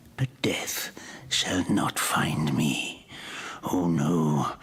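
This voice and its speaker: Whispering at a very slow pace, a man performs a put-on character voice. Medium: video game. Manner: whispering, theatrical, gloating with laughter.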